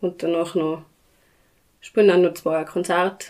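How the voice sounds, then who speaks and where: This woman has a normal speaking voice, medium in pitch, with fairly even intonation and a moderate pace. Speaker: village band chairwoman, clarinetist. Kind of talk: casual interview.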